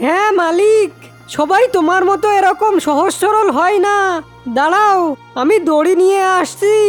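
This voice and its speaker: A cartoonish character voice sits at an extremely high pitch and moves at a fairly slow pace. Clear music plays in the background. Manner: playful, teasing.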